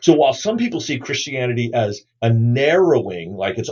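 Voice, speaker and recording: Somewhat breathy, a man speaks at a fairly quick pace and medium pitch, his pitch swinging very widely. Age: 60s. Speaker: New Testament scholar and pastor. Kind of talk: podcast interview. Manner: halting.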